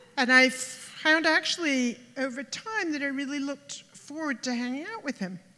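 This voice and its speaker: Her voice is raised and projected, high in pitch. The woman keeps a moderate pace with lively intonation. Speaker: birthday speaker, partner of the host. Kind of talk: party speech. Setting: stage with audience.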